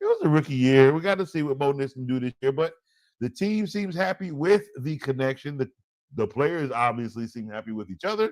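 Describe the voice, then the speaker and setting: The voice is loud and animated. Its pitch swings very widely. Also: man. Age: adult, parent. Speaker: fantasy football show host. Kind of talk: casual sports talk show.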